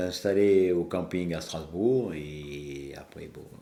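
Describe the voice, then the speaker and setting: A man speaks very slowly in a very deep, low voice. His tone is dark and mellow. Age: 70s. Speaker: long-distance cyclist, club president. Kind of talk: podcast interview. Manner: hesitant, many fillers.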